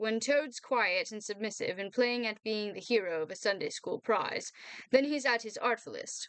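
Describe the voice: This is plain reading aloud, and its pitch moves in an ordinary manner.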